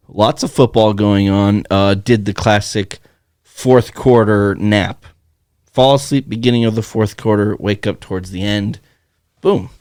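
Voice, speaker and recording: A man's fairly low, a normal speaking voice at a fairly slow pace with fairly even intonation. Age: 20s. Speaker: podcast co-host. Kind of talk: casual chat.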